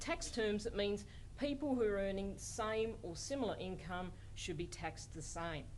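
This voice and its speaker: A woman with an Australian accent, fairly slow and marked by vocal fry, in audible room echo. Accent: Australian, noticed by colleagues. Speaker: law professor. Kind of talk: lecture.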